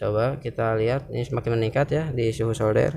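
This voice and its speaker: The man's speech is fairly quick, medium in pitch, with ordinary pitch variation. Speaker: electronics hobbyist YouTuber. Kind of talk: tutorial. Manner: halting, with many fillers.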